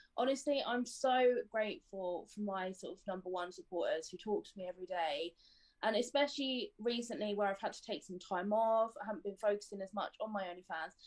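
Speaking fairly quickly in a southern English accent, a woman uses a medium pitch with ordinary pitch variation and big swings in loudness. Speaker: adult model. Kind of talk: casual interview.

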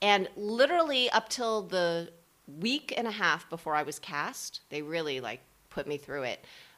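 With an American accent, a woman speaks in a bright, sharp tone, her pitch swinging very widely. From New Jersey. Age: 40s. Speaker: actress. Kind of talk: interview conversation.

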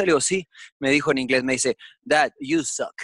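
A man talks at a moderate pace against a quiet background. The sound is dry and close, with no echo. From Mexico. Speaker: sports commentator. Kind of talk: casual chat.

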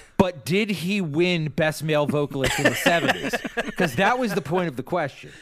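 There is noticeable background noise behind this man's voice. He speaks with a high pitch and lively intonation at a moderate pace. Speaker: podcast host and trivia contestant. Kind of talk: casual banter in a trivia game. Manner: self-deprecating, joking.

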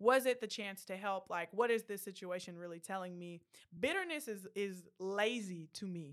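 The voice is unremarkable, moving at a moderate pace with ordinary pitch variation and big swings in loudness. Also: woman, medium pitch for a woman. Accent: American. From Central Texas. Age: 30s. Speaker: social worker and poet. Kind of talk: casual interview chat. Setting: studio.

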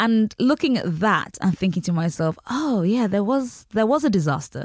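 In a British accent, a woman speaks with a dry, close sound, no echo and a quiet background. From Britain and Nigeria. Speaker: journalist. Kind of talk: interview. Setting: studio.

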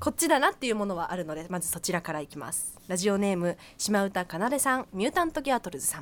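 A woman talks at a very fast pace in a medium pitch. Her pitch swings very widely. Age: 20s. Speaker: radio co-host. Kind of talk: casual radio chat.

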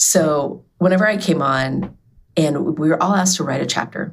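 A woman's very deep, low pitch with vocal fry. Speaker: book contributor and nonprofit marketing director. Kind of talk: podcast interview. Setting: remote call.

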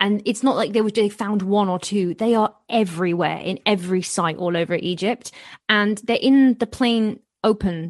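At a moderate pace, the speaker talks in a British accent with ordinary pitch variation. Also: woman, medium pitch for a woman. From England, partly raised in Ontario, Canada. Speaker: comedian and online video creator. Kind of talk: casual interview.

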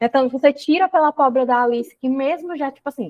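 With lively intonation, a woman speaks in a high pitch. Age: 30s. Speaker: podcast host. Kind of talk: casual chat.

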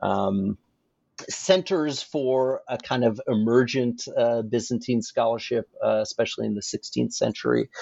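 A man with an American accent speaks at a fairly slow pace. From Alaska. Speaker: historian, former navy officer. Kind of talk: academic interview.

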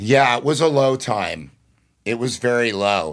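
A man's fairly low voice shows ordinary pitch variation and holds a moderate pace. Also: very clean recording, silent background. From Southern California. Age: 50s. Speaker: rock band vocalist. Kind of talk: casual interview conversation. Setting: in-person podcast recording.

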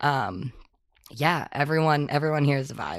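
A woman with an American accent speaks in a very deep, low pitch with vocal fry, ordinary pitch variation and a moderate pace, on a very clean recording with a silent background. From Texas. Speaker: painter and art teacher. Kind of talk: casual chat.

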